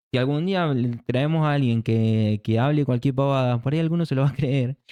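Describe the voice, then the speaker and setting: A man talks at a fairly quick pace at medium pitch, with a dark, mellow tone and ordinary pitch variation. The sound is dry and close with no echo over a quiet background. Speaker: church speaker. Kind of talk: casual chat.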